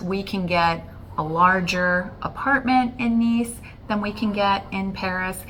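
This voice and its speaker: Speaking very slowly in an American accent, a woman at medium pitch uses ordinary pitch variation while audible room echo surrounds her voice. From Florida, US. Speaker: travel vlogger. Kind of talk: casual chat.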